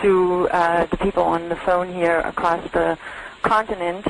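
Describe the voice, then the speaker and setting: Over noticeable background noise, a woman speaks with a German accent at a fairly low pitch. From Germany. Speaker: industry analyst. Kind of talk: webinar presentation.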